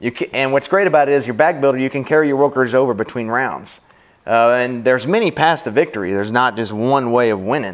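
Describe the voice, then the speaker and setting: A man with a Louisiana accent talks at a fairly quick pace, his medium pitch showing ordinary variation. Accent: Louisiana Southern US. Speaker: board game reviewer. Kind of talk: casual chat.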